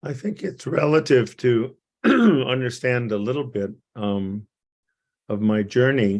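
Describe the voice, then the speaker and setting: A man speaks at a very slow pace in a medium pitch, with lively intonation and long, frequent pauses. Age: 80s+. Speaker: psychiatrist and teacher. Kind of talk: interview.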